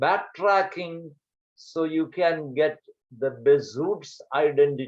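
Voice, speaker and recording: Very slowly, a man talks in a fairly high voice with ordinary pitch variation. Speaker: math teacher. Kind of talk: online lecture. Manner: loud.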